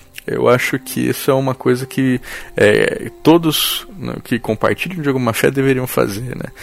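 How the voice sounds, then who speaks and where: The man keeps a moderate pace while noticeable background noise carries on around him. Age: 20s. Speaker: journalist and folklore podcaster. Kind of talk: casual interview.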